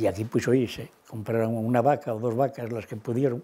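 Moving at a moderate pace, the man's voice has a dark, mellow tone. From Cantabria, Spain. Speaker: retired cattle farmer and former waiter. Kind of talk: oral history interview answer. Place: kitchen.

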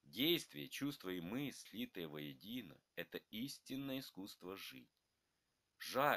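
The voice is slowed to a fairly slow pace, with a bright, sharp tone and vocal fry. Its pitch swings very widely. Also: man. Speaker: narrator reading both grandfather and grandson parts. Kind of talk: scripted dialogue between grandfather and grandson, read aloud.

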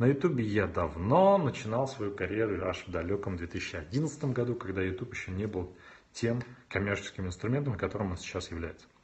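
A man with a fairly low pitch speaks in an animated tone at a moderate pace. His voice is somewhat breathy. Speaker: video blogger and YouTube marketing consultant. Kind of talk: live stream Q&A with viewers. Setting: live video stream on smartphone, standing. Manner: animated, moving a lot on camera. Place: home room.

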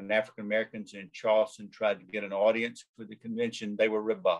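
Against a quiet background, the speaker talks with a Southern US accent and ordinary pitch variation. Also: man. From US South. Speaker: law professor. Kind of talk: lecture. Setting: video call. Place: home room. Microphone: webcam.

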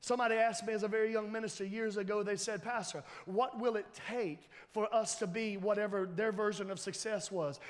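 A man's high voice at a fairly quick pace. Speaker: pastor. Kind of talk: sermon. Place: church.

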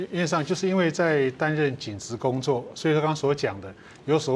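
Light background noise sits behind a man speaking at a moderate pace with lively intonation. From Taiwan, Amis, Hualien; Taiwan. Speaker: retired police officer and restaurant owner; guest. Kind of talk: TV panel interview. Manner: halting, many 'ah' fillers. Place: studio.

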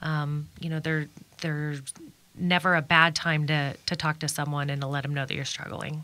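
In a Midwestern American accent, the voice has a bright, sharp tone and monotone, flat intonation at a moderate pace. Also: woman, very deep, low pitch for a woman. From Kansas, Wichita. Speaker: suicide prevention nonprofit founder. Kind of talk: radio interview.

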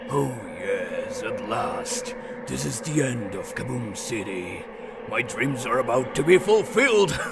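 A man does a cartoonish character voice, pitched high and delivered at a fairly slow pace. Loud background noise runs underneath. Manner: gloating, commanding.

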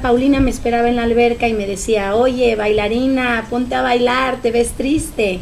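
The intonation stays fairly even at a moderate pace. Light background noise is present. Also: woman. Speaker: choreographer and dance director of the project. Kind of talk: casual interview. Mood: warm, proud, emotional. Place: home room. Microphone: podium.

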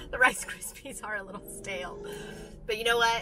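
Music can be heard behind the speech. The speaker is a woman. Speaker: vlogger. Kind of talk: casual vlog chat. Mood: cheerful, amused. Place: car. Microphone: phone near.

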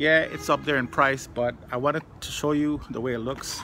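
A man's voice with light background noise. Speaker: food reviewer. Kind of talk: casual vlog chat. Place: garden. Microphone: phone near.

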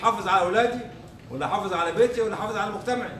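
A man speaks in a raised, projected voice with ordinary pitch variation over noticeable background noise. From Egypt. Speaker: humanitarian founder and speaker. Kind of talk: conference talk with audience Q&A. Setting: stage with audience. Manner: animated.

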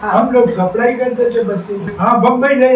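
A man's high voice with fairly even intonation carries audible room echo and light background noise. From Rajasthan. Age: 80s+. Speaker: freedom fighter. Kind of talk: interview answer. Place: home room.

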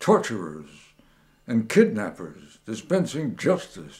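In a dark, mellow tone with vocal fry, a man speaks at a very slow pace with very wide pitch swings against a quiet background. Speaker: poet, WWII veteran. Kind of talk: poetry reading. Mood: bitter, sardonic political critique. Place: home room.

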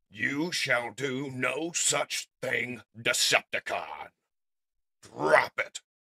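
In a put-on character voice, raspy and low-to-middle in pitch, the speaker goes at a very slow pace.

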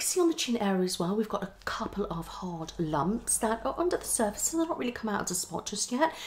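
Speaking fast, a woman swings her medium pitch widely. Faint background noise can be heard.

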